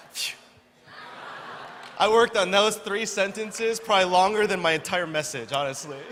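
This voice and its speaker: A high-pitched man with an American accent, ordinary pitch variation, long, frequent pauses and audible room echo. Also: moderate pace. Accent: American English; weak, hesitant Korean. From USA, Korean-American. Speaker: preacher. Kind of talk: sermon with interpreter. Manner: halting in Korean.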